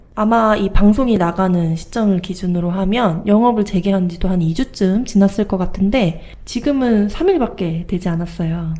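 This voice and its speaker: A woman speaks in a normal speaking voice at a moderate pace, with medium pitch, ordinary pitch variation and hardly any pauses. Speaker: podcast co-host. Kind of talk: podcast host talk.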